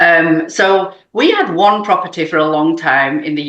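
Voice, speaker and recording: Audible room echo surrounds a woman speaking at a moderate pace. Her voice is fairly low in pitch, with fairly even intonation. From UK. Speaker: real estate investor. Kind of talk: podcast interview.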